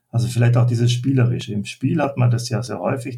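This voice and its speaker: A dark, mellow, somewhat breathy voice. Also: man. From Austria. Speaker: leadership coach. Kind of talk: interview. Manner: halting.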